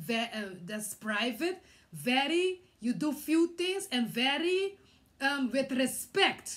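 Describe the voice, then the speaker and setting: Speaking with a Curaçao accent, a woman with a high pitch swings her pitch very widely. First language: Papiamento. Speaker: vlogger. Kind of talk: personal testimony. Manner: halting, many hesitations.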